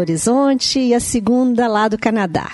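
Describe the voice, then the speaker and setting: A woman with a fairly high pitch, her moderate pace set against noticeable background noise. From Brazil. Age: 50s. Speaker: listener visiting studio. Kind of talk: casual chat.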